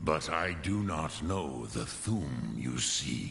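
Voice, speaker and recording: A man puts on a character voice with a very deep, low pitch. Clear echo and clear background noise come through. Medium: video game. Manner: slow, measured, grave, sprinkled with dragon words.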